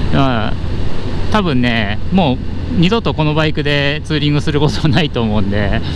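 At a moderate pace, a man talks in a dry, echo-free sound with noticeable background noise. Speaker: motovlogger rider. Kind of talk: casual vlog chat. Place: motorbike. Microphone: helmet.

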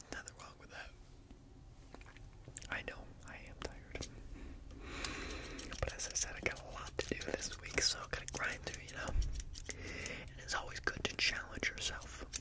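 There is loud background noise. A man speaks at a moderate pace. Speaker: ASMR creator playing a barber. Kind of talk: soft roleplay chat. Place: home room. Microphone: studio mic.

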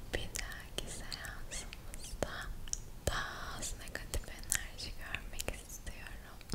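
A woman whispers at a very slow pace, her tone gentle and soothing. Loud background noise runs behind her. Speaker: ASMR creator. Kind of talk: soft ASMR roleplay talk. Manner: gentle soothing ASMR whisper. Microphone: studio mic.

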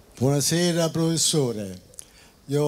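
A man's lively intonation carries through his very slow delivery. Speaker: audience member. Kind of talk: audience question. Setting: outdoor square with audience.

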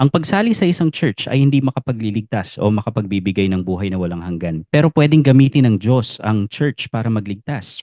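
A man's medium-pitched voice with a dark, mellow tone and lively intonation, at a fairly quick pace with hardly any pauses, in a dry, close sound with no echo. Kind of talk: Bible teaching explainer. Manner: polite, formal.

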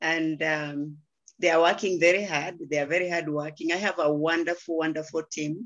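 A woman's voice sits fairly low and moves at a moderate pace. Her intonation is monotone and flat, with a quiet background. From Kenya. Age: 70s. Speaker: interior designer and network marketer. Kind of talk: testimony. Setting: video call. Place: home room. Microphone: video call.

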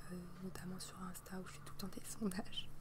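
The speech comes at a moderate pace. Noticeable background noise runs beneath it. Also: woman. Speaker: youtuber. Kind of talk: casual vlog chat. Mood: relaxed, friendly. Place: garden. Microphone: earbuds.

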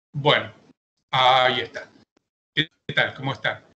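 Over light background noise, a man with a bright, sharp tone speaks at a fairly slow pace. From Argentina. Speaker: real estate broker and auctioneer; auctioneer. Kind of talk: audience question. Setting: video call. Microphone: video call.

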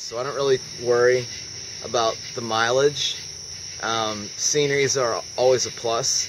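A man speaks over noticeable background noise. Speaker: backpacker vlogger. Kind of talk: casual vlog chat, Q&A answers. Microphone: phone near.

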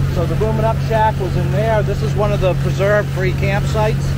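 Loud background noise fills the clip. The talking keeps a moderate pace. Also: man, dry sound with no echo. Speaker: tour boat guide. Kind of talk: tour guide commentary. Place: boat. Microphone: phone near.

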